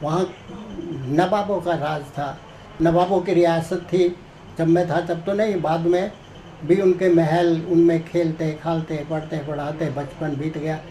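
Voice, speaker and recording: High-pitched male voice, monotone and flat in intonation, with noticeable background noise. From Haryana, Rohtak area. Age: 60s. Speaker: author and blood donation activist. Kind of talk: interview.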